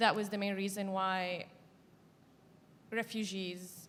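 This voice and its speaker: A woman speaks with an Arabic accent at a medium pitch. Her intonation is monotone and flat. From Syria, coastal Jableh. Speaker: activist and journalist. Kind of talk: panel discussion. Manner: halting, with many fillers.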